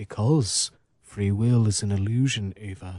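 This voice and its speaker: A man performs a put-on character voice at a fairly low pitch. His pace is moderate. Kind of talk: like a smug online commenter.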